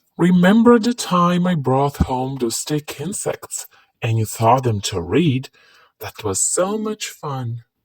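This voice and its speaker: Pitched low-to-middle, a put-on character voice moves at a fairly slow pace with very wide pitch swings. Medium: read story. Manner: warm, upbeat.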